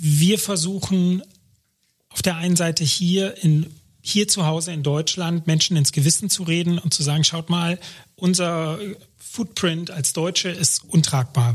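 His pitch high, a man speaks at a fairly slow pace with fairly even intonation. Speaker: aid organization education expert. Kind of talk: interview.

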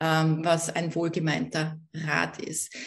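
A woman speaks with an Austrian accent. Her voice is somewhat breathy. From Austria, Vienna. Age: 60s. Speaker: network marketing entrepreneur and coach. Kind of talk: interview.

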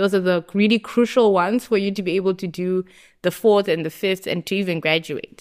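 The speaker has a Zimbabwean accent and a fairly quick pace with fairly even intonation. The recording is very clean, with a silent background. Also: woman, medium pitch for a woman. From Zimbabwe, Harare. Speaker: university student, club vice president. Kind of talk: casual interview.

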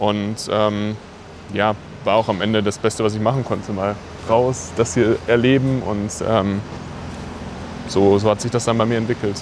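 Noticeable noise sits in the background. The speech is flat and monotone, broken by long, frequent pauses. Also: man, fairly low pitch for a man, moderate pace. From Sauerland, western Germany. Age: 20s. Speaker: former football goalkeeper, nonprofit founder. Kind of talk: interview. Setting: outdoors at a football stadium.

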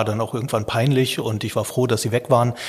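A man with medium pitch sounds somewhat breathy. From Lower Rhine region, Germany. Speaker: journalism professor and science reporter. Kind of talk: podcast interview.

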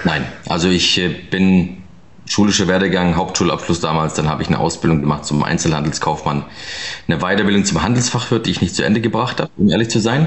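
A man speaks very fast in a very deep, low pitch, with ordinary pitch variation and very even loudness. Background noise is noticeable. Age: 30s. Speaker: real estate investor and advisor. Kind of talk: interview. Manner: casual, many filler sounds.

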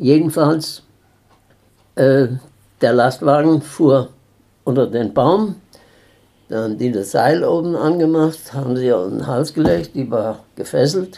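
Dark and mellow in tone yet fairly high in pitch, a man speaks at a very slow pace with long, frequent pauses. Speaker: eyewitness. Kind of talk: interview. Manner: halting.

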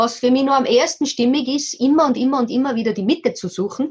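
The speaker is a woman with a high voice. Her pitch varies in an ordinary way. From Austria, Tyrol. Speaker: local politician and nonviolent communication practitioner. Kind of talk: interview.

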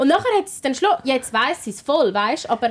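A woman in a Swiss accent, very fast and animated, with very wide pitch swings over noticeable background noise. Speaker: radio host and podcast co-host. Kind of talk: casual chat. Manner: animated, laughing often.

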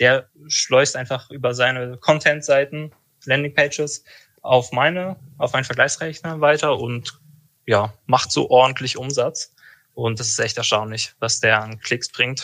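Here a man with a bright, sharp tone speaks at a medium pitch and a fairly slow pace, his intonation fairly even. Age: 20s. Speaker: insurance broker. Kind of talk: casual interview chat.

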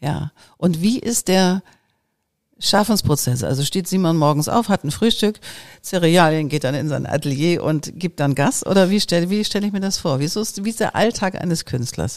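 Using a normal speaking voice, a woman talks at a moderate pace with a fairly low pitch. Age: 50s. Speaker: podcast host and creativity mentor. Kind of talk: casual interview.

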